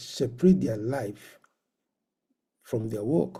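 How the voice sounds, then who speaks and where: His tone dark and mellow, a man speaks in a somewhat breathy voice. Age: 60s. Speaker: professor and medical doctor. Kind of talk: conference lecture. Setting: virtual conference.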